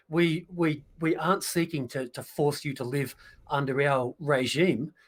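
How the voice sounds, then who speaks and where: Speaking with an Australian accent, a man uses a fairly high pitch. His pace is fairly slow and his intonation fairly even. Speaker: political commentator. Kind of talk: casual political livestream discussion.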